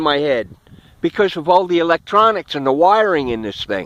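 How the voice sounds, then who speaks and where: Moderate-paced speech from a man. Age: 70s. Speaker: product reviewer, war veteran. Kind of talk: product review vlog. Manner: animated.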